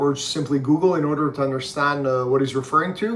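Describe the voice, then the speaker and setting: Speaking in a Quebec accent, a man talks at a fairly quick pace with a fairly high pitch. His intonation is fairly even, and there is noticeable background noise. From Quebec, Canada. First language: French. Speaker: book reviewer's father. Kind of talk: casual chat. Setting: livestream. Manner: measured, with frequent fillers.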